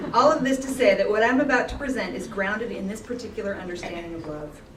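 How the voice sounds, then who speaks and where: A woman talks at a fairly quick pace with lively intonation. Audible room echo and noticeable background noise fill the recording. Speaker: graduate student and conference speaker. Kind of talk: conference talk. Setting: conference with audience. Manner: fast.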